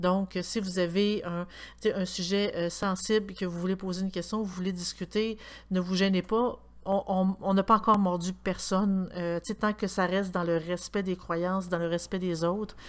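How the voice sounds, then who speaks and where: In a Quebec accent, a woman speaks at a moderate pace and medium pitch. Her intonation is monotone and flat, and the recording is very clean with a silent background. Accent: Québécois French. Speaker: podcast co-host. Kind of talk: casual chat.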